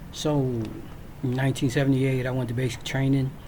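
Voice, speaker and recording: A man at a moderate pace and medium pitch, the room's echo clearly audible. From Virginia. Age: 60s. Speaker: military veteran. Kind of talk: personal storytelling. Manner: casual, with frequent fillers.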